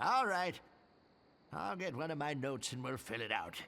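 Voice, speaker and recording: A man puts on a character voice, fairly high-pitched, with lively intonation at a moderate pace. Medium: video game. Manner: gruff, sarcastic.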